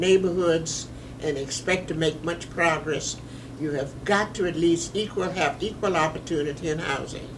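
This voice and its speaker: Against noticeable background noise, a woman speaks at a fairly low pitch with fairly even intonation. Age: old. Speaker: civil rights attorney. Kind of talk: interview answer.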